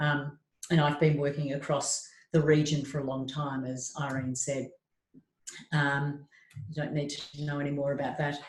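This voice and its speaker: A woman's very deep, low, somewhat breathy voice in an Australian accent, monotone and flat, at a moderate pace with long, frequent pauses. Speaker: trauma psychologist. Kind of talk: webinar talk.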